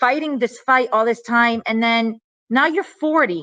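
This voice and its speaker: A woman speaks with a Miami accent at a moderate pace and a fairly high pitch. The sound is dry and close, with no echo. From Miami, Florida. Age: 40s. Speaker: novelist, former attorney. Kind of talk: interview.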